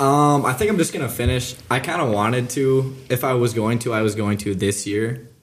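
Noticeable background noise sits behind a man with a medium pitch and ordinary pitch variation. He talks at a moderate pace with hardly any pauses. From Minnesota (Breckenridge). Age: young (19). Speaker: college student. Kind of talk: casual chat.

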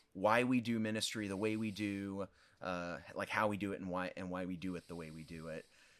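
Man with a Midwestern American accent and fairly even intonation. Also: fairly quick pace. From US Midwest, southern Illinois. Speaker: pastor. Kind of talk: interview conversation.

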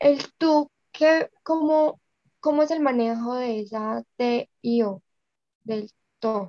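A woman speaks at a very slow pace with long, frequent pauses, a high pitch and ordinary pitch variation. Her tone is dark and mellow, and the sound is dry and close with no echo. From Colombia. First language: Spanish. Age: 20s. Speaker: English student. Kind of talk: language lesson. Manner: halting.

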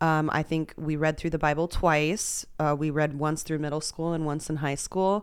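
At a moderate pace with hardly any pauses, a woman with an American accent speaks in a very deep, low pitch and a monotone, flat intonation. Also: very clean recording, silent background. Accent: Texas accent, comes and goes. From Texas. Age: 30s. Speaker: poker player. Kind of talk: casual chat. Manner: filler-heavy, talks a lot.

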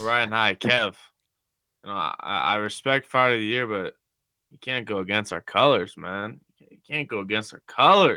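In a plain, everyday voice, a man of medium pitch talks at a moderate pace, his loudness swinging widely. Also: ordinary pitch variation. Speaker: student. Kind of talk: casual chat.

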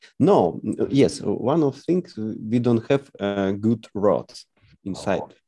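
Lively intonation marks a man's speech in a Russian accent, delivered at a very slow pace. His tone is dark and mellow. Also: medium pitch for a man. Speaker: English language student. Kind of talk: online English lesson conversation. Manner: halting, many hesitations.

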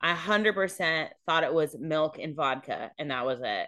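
A woman with an American accent speaks at a moderate pace. Her pitch is very deep and low, with ordinary pitch variation. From California. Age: 30s. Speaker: podcast host. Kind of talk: storytelling; casual chat.

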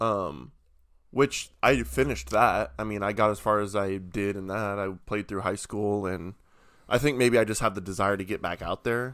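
An unremarkable speaking voice from a man at a moderate pace, with ordinary pitch variation, in a very clean recording with a silent background. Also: fairly low pitch for a man. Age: 20s. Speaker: podcast co-host. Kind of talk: casual chat.

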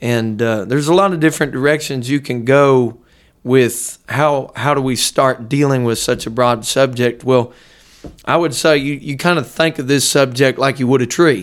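A plain, everyday voice from a man at a medium pitch, moderate pace and fairly even intonation, on a very clean recording with a silent background. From Ohio, near Dayton. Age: 20s. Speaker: pastor. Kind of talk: casual interview; sermon-style teaching.

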